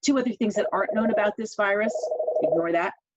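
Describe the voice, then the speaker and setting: A woman speaks with an American accent and lively intonation. The sound is dry and close, with no echo. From New York. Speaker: church elder and scientist presenter. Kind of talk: webinar presentation. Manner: fast.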